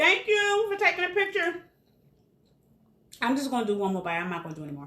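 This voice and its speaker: A woman's raised, projected voice rushes at a very fast pace, high-pitched with a bright, sharp tone. Her pitch swings very widely and her loudness swings a lot. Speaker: caterer and cooking show host. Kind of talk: casual cooking demonstration.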